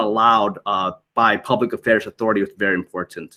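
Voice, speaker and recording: A man talks with a Thai accent. His pace is moderate. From Thai background. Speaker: military public affairs media liaison. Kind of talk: conference presentation. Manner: halting, many fillers and repetitions.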